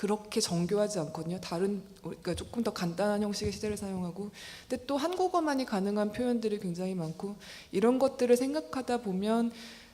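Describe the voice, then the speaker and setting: A woman's dark, mellow voice at a fairly quick pace, with lively intonation. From South Korea. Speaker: writer. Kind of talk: interview answer. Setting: literary forum with audience.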